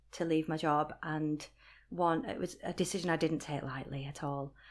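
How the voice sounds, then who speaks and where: On a very clean recording with a silent background, a woman with a Lancashire accent speaks at a moderate pace with a fairly low pitch and ordinary pitch variation. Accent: Lancashire northern English, still noticeable. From Rochdale, Lancashire, England. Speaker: blogger and voiceover artist. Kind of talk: casual interview, personal story.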